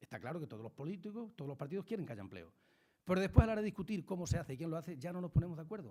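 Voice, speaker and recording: Speaking very fast, a man uses a dark, mellow, somewhat breathy tone. His pitch swings very widely. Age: 60s. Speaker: politician. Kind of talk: talk to school students.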